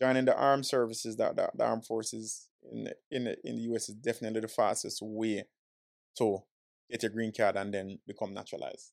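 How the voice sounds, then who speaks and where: The speech comes at a very fast pace with an American accent. The recording is very clean, with a silent background. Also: man. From Jamaica. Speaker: immigration lawyer. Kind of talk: casual interview chat.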